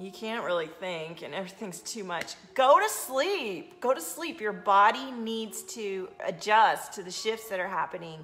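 Over faint background music, a woman speaks at a fairly slow pace. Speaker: coach streaming to an audience. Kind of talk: casual live-stream talk. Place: home room.

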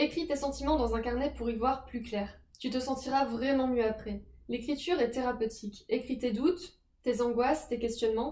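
In a room with audible echo, a woman with a high pitch and a dark, mellow tone talks at a moderate pace with fairly even intonation. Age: 20s. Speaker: personal development youtuber. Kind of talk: advice talk to camera. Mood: calm, gentle.

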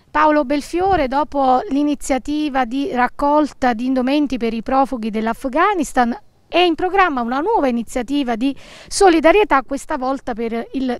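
At a moderate pace, the speech rises and falls with lively intonation. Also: woman, high pitch for a woman. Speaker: news anchor. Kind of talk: news reading. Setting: studio.

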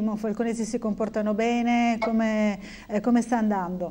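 A woman's dark, mellow tone at a fairly high pitch and a moderate pace. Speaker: TV news anchor. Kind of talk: live news broadcast. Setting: studio. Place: studio.

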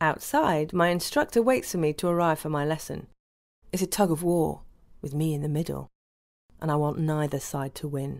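A woman with a British accent, her pitch very deep and low, ordinary pitch variation, moderate pace, on a very clean recording with a silent background. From United Kingdom. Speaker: voice actor. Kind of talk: audiobook narration, adult fiction.

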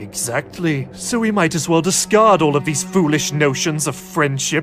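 Over clear background music, a man speaks at a moderate pace in a fairly high voice. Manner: smug, condescending.

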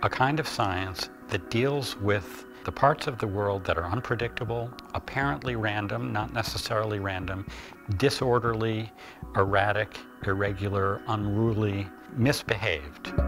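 With clear music in the background, a man speaks at a fairly low pitch and a moderate pace. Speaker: interviewee. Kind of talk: interview answer. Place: home room.

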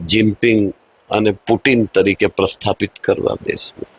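A man's medium-pitched voice sounds somewhat breathy, with monotone, flat intonation. The sound is dry and close, with no echo. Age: 60s. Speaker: politician, parliamentary candidate. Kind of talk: interview.

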